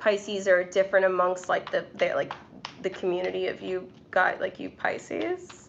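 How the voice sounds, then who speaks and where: At a moderate pace a woman talks, with background noise noticeable throughout. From New York City. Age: 20s. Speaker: tarot reader and YouTuber. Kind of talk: casual live stream chat. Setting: live stream. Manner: hesitant, many fillers.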